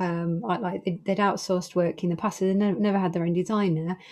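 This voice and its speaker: A woman talks at a fairly quick pace in a normal speaking voice. Her pitch is medium and her intonation fairly even. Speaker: podcast host and design business consultant. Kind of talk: casual interview chat.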